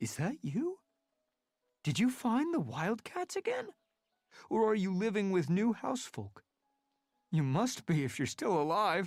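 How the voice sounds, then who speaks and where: A put-on character voice at middle pitch, nervous in tone, with very wide pitch swings, a moderate pace and long, frequent pauses, on a very clean recording with a silent background. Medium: read story. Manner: stammering, nervous.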